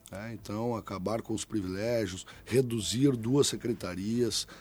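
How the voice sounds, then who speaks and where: Speaking fairly slowly, a man holds a medium pitch and fairly even intonation. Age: 40s. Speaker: mayoral candidate. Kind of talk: political interview. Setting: radio studio. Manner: hesitant, many filler sounds.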